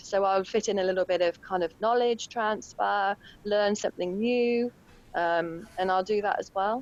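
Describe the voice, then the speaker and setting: The voice carries a British accent and ordinary pitch variation. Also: woman. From UK. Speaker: intuitive painter. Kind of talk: podcast interview.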